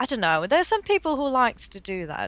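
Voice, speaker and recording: A fairly quick delivery in a posh English accent. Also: woman. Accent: fluent, posh-sounding English. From Denmark. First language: Danish. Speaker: watercolor artist. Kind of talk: casual interview.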